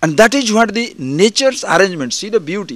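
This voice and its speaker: A man with an Indian accent speaks with very wide pitch swings. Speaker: spiritual teacher. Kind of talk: spiritual discourse. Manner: conversational.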